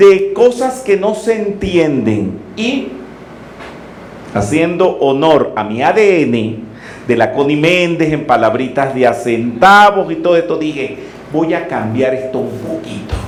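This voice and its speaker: Speaking at a very slow pace, a man with a fairly high voice swings his pitch very widely over noticeable background noise and audible room echo. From Venezuela, Caracas. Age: 60s. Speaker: metaphysics teacher. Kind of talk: lecture.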